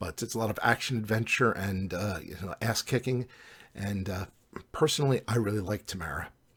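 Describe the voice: The delivery is plain reading aloud.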